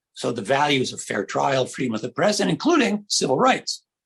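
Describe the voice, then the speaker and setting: A man with an American accent speaks at a moderate pace in a fairly high voice with vocal fry, in a dry, close sound with no echo. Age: 70s. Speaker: panelist, academic. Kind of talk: panel discussion. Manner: halting, many fillers.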